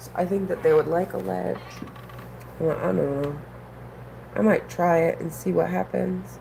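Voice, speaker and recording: A woman with an American accent and a relaxed tone speaks at a moderate pace in a very deep, low voice with vocal fry, very wide pitch swings, big swings in loudness, and long, frequent pauses. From New England. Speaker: aquarium hobbyist streamer. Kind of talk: casual live stream chat. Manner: relaxed, hesitant with fillers.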